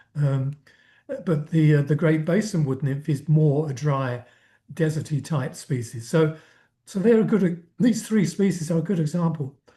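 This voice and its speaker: Against a quiet background, a man speaks with a dark, mellow tone and a fairly high pitch. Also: ordinary pitch variation, moderate pace. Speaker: entomologist presenter. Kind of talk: lecture. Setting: video call. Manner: halting.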